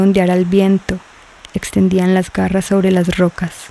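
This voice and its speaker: The tone is dramatic and the pace fairly slow. Noticeable background noise runs underneath. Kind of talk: scripted narration. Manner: dramatic, measured storytelling, hushed and ominous on the sirens' silence; slow, rapt and tense, lingering on the sirens' gestures.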